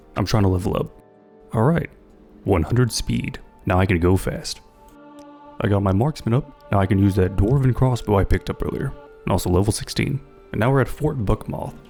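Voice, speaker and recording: A man's fairly low-pitched voice with lively intonation, music in the background. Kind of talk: video game commentary.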